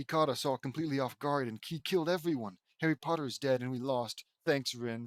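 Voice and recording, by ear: Quiet surroundings, ordinary pitch variation, and reading aloud in a natural voice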